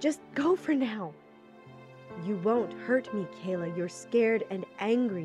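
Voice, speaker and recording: Over background music, a woman talks at a fairly slow pace, her pitch swinging very widely. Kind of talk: audiobook narration.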